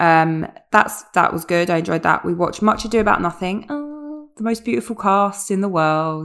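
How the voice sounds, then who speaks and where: With a British accent, a woman speaks at a medium pitch and a moderate pace. Her intonation is lively, with hardly any pauses. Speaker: podcast co-host. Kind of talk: casual chat.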